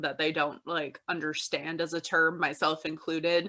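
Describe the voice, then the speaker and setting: The voice has a bright, sharp tone with a Midwestern US accent. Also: woman. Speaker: podcast co-host. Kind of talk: casual chat.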